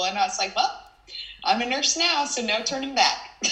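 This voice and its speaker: A woman with a Southern US accent speaks at a high pitch, with audible room echo and noticeable background noise. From Texas (Houston). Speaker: nurse. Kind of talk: interview.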